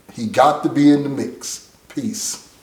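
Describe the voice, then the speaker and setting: An animated tone comes through as a man speaks with audible room echo. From San Francisco, Bayview Hunters Point. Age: 60s. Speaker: motivational speaker. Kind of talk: motivational address; casual interview chat.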